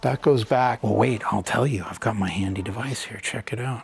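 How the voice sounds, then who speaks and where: A man's fairly quick, medium-pitched speech with ordinary pitch variation and noticeable background noise. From California. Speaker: real estate agent. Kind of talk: home tour walkthrough. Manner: casual, enthusiastic.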